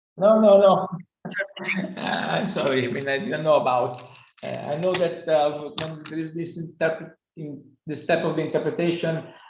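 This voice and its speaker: There is audible room echo around a man's fairly high voice, with ordinary pitch variation. He keeps a moderate pace with long, frequent pauses. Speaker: invited seminar speaker on plant breeding. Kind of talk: casual chat.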